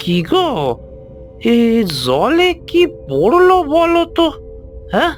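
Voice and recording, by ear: Over clear music in the background, a cartoonish character voice speaks at a moderate pace.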